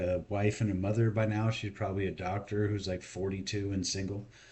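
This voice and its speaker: The voice is a man's, somewhat breathy. It moves at a moderate pace. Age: 40s. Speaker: video blogger. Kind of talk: monologue rant. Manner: casual.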